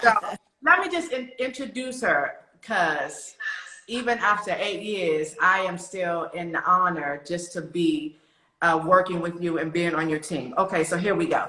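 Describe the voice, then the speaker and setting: At a fairly slow pace, a woman with a medium pitch speaks in an animated tone with lively intonation. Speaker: stylist hosting a live interview. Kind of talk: casual live-stream interview. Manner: loud.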